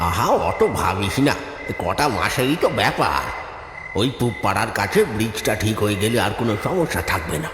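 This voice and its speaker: A man's cartoonish character voice at medium pitch and moderate pace, with slight echo and loud background noise. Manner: fatherly, guarded.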